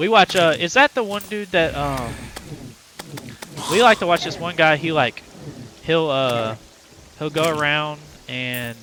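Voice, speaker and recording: A man with a fairly high pitch talks at a moderate pace, his pitch swinging very widely and his loudness rising and falling a lot. He takes long, frequent pauses, and background noise is noticeable. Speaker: gaming streamer. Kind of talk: casual live-stream chat. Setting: live stream.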